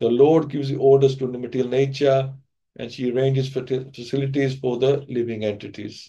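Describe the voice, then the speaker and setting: This man has a dark, mellow tone and keeps a moderate pace. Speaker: speaker. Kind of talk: lecture. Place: home room. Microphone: video call.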